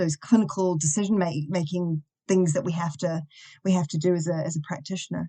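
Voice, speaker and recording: A dark, mellow tone in a New Zealand accent, at a moderate pace with fairly even intonation. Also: woman. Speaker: university lecturer and behaviour analyst. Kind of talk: podcast interview.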